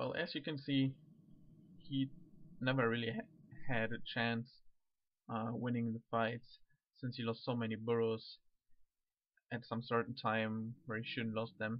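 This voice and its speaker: A man with a non-native accent talks at a fairly slow pace in a medium pitch. His intonation is monotone and flat, with long, frequent pauses. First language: not English. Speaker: gaming commentator. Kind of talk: game commentary. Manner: halting.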